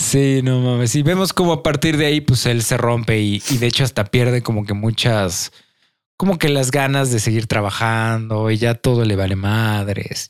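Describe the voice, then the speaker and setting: A man has a normal speaking voice at medium pitch. He keeps a moderate pace, very even loudness and ordinary pitch variation. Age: 20s. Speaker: podcast host. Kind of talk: casual chat.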